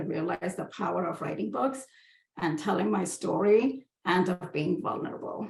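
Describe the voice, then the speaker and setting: A woman with an Indian accent speaks at a fairly slow pace. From India, Hyderabad. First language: Hindi. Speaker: book artist and designer. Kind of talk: presentation.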